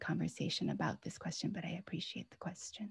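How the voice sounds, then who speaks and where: A woman with an American accent at a very fast pace, dry sound with no echo. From US (Pennsylvania and Washington State); US. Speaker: author. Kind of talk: book talk conversation. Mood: warm, earnest. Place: home room. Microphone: video call.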